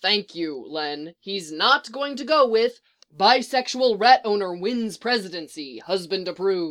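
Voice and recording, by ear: With lively intonation, the text is read aloud in a natural voice over a quiet background.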